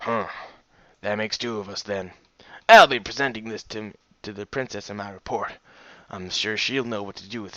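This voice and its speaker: Raspy and put on as a character voice, this delivery moves at a moderate pace with long, frequent pauses. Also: man, fairly low pitch for a man. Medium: read story. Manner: polite, formal.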